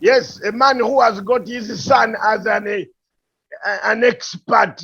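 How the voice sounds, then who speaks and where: Very slow and bright, with a sharp tone, a man with a high pitch and a strong Ugandan accent uses ordinary pitch variation. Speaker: political commentator. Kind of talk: heated debate. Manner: animated.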